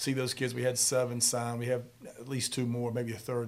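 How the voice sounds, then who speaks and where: A man with an American accent and a medium pitch, talking at a fairly quick pace amid audible room echo. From Charlotte, North Carolina. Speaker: football coach. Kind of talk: casual interview.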